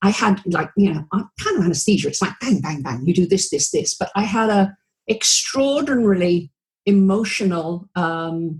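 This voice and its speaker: A woman with a British accent speaks at a moderate pace in a medium, somewhat breathy voice with lively intonation. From England. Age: 70s. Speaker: retired anesthesiologist turned video marketer. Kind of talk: interview. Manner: bubbly.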